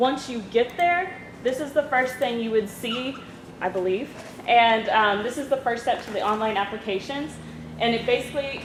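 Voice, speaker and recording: A woman with a fairly high pitch and ordinary pitch variation is heard amid noticeable background noise and audible room echo. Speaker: university admissions outreach coordinator. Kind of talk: presentation. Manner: fast.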